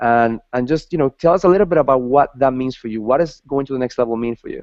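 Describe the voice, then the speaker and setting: In a Spanish accent, a man talks at a very fast pace with a fairly high pitch. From Ecuador. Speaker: talk show host. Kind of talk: interview. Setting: video call.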